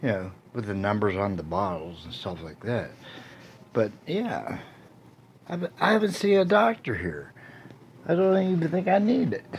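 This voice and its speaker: The pitch swings very widely, with long, frequent pauses. Noticeable background noise is present. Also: man, medium pitch for a man, moderate pace. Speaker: video blogger. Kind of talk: casual monologue. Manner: halting.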